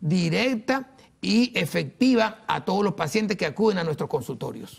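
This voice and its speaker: Pitch varies in an ordinary way as the words come at a fairly slow pace. Nothing stirs in the quiet background. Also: man. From Venezuela. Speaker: dentist and professional association leader. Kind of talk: TV interview. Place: studio. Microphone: lapel.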